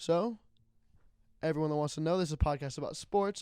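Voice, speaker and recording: In a very clean recording with a silent background, a man talks at a fairly quick pace with fairly high pitch. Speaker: sports podcast host. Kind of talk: casual chat. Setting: audio-only podcast recording. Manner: loud.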